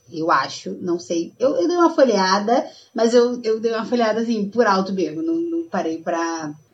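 Lively intonation from a woman at a moderate speed. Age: 20s. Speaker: podcast co-host. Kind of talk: casual chat.

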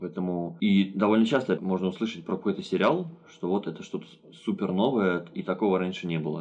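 A man's very deep, low voice at a fairly quick pace with ordinary pitch variation. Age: 20s. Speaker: podcast co-host. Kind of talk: casual chat. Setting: remote call.

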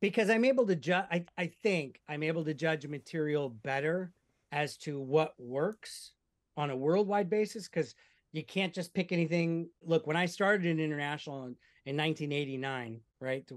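A man with an American accent uses a normal speaking voice, fairly high in pitch with ordinary pitch variation. He keeps a moderate pace over a quiet background. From US Midwest (Omaha, Nebraska). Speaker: app company CEO and film producer. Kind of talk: casual interview.

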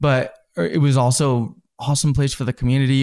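With an American accent, a man at a medium pitch speaks at a fairly quick pace in a very clean recording with a silent background. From Southern California, then Utah from about age ten. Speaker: entrepreneur, drink shop founder. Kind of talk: interview, casual storytelling. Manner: animated, laughs often.

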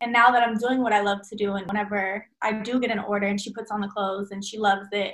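Talking at a very fast pace with hardly any pauses, a woman with an American accent holds a fairly high pitch in a monotone, flat delivery. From Texas, Dallas. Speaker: fashion designer. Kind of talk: casual interview.

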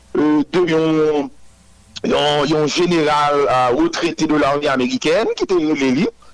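A man's fairly high voice shows ordinary pitch variation against noticeable background noise. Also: dry, close sound with no echo. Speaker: political group spokesperson. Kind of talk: news interview.

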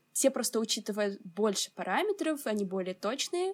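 A woman with an unremarkable speaking voice, fairly high pitch and a moderate pace. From Ukraine, Odesa. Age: 20s. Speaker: climatology student and climate activist. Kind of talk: interview.

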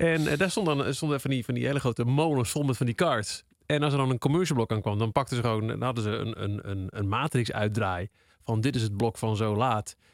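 A man talks at a fairly quick pace with a medium pitch, in a normal speaking voice with ordinary pitch variation. The recording is very clean, with a silent background. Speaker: radio DJ. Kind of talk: casual chat.

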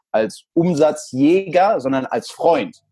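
The man's voice has a dark, mellow tone. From El Salvador and Frankfurt, Germany. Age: 30s. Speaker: sales trainer. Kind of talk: interview.

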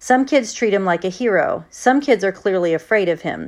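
This is an unforced reading voice. It carries the words through.

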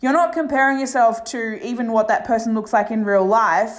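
Ordinary pitch variation marks the voice, which carries audible room echo. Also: woman. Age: 30s. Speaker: life coach and podcast host. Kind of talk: solo podcast monologue.

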